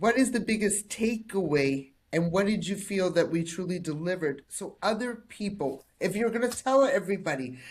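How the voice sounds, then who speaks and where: Her tone animated and her intonation lively, a woman of medium pitch speaks at a moderate pace with hardly any pauses. Her voice is somewhat breathy. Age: 50s. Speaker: personal development coach and podcast host. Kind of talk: interview podcast.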